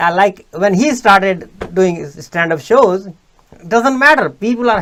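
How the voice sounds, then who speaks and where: A man speaks at a moderate pace in a bright, sharp, high voice with lively intonation. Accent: Indian. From India. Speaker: podcast host. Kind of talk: interview. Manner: halting.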